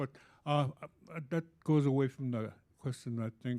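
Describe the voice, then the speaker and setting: A man with an Alaskan accent talks at a fairly slow pace in a dark, mellow tone and fairly even intonation. The sound is dry and close, with no echo. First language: Yupik. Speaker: panelist. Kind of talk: panel discussion. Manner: halting.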